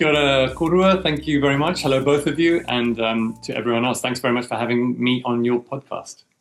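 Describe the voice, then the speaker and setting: A man with a British accent talks at a fairly quick pace. Music plays in the background. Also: medium pitch for a man, ordinary pitch variation. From mixed: New Zealand, US, Germany; UK from 16. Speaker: film director. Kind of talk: interview. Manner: hesitant with fillers.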